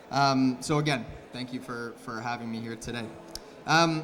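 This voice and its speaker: Ordinary pitch variation amid audible room echo and noticeable background noise. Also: man. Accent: Canadian. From Canada. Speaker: agritech company representative, conference speaker. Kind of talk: conference talk. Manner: hesitant, many fillers and repeated words.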